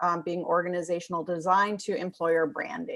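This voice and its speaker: A woman with an American accent uses a normal speaking voice at medium pitch. She talks at a moderate pace against a quiet background. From United States. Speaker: talent consultant. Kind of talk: podcast conversation.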